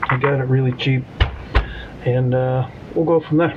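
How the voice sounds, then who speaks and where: A man at a fairly slow pace, with fairly even intonation, over noticeable background noise. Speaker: RC hobby youtuber. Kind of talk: hobby tutorial. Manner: casual, hesitant with many ums; mumbling.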